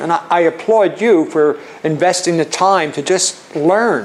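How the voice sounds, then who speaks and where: With a Philadelphia accent, a man speaks at a high pitch with fairly even intonation. Noticeable background noise is present. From Philadelphia, US. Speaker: charitable giving and tax planning speaker. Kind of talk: seminar presentation. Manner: halting, many fillers and restarts.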